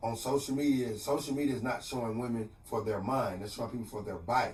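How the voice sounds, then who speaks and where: There is noticeable background noise and audible room echo. A man talks at a medium pitch and fairly quick pace with ordinary pitch variation. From Texas, Port Arthur. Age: 30s. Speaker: motivational speaker. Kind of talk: radio interview. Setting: radio studio.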